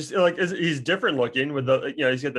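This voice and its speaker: A man talks at a medium pitch with ordinary pitch variation, a plain, everyday voice. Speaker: podcast co-host. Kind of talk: casual podcast chat.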